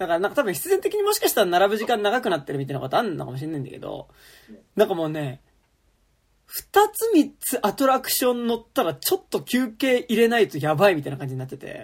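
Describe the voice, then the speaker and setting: A man speaks at a high pitch and a very fast pace. His pitch swings very widely, and his loudness shifts in big swings. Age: 30s. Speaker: podcast host. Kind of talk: casual chat.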